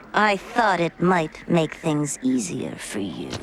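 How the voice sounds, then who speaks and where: A cartoonish character voice at middle pitch. It goes at a fairly slow pace over clear background noise. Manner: sultry, teasing.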